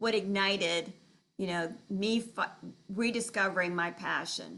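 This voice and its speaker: A woman with vocal fry, medium pitch and fairly even intonation at a fairly slow pace. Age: 70s. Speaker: dancer sharing her reinvention story. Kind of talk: interview.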